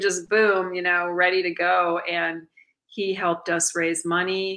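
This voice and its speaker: With an American accent, a woman speaks at a very slow pace in a medium pitch and a bright, sharp tone. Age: 60s. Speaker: music producer and filmmaker. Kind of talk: casual interview chat.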